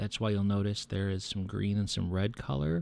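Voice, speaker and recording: In a normal speaking voice, a man talks with fairly low pitch and ordinary pitch variation. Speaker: hobby miniature painter and 3D printing channel host. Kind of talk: hobby painting tutorial narration to camera.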